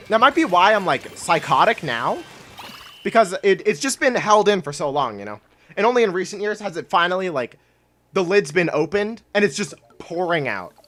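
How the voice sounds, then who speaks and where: A woman at medium pitch, with music in the background. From Canada. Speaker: gaming streamer. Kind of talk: casual live stream chat while gaming. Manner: halting, pauses while thinking.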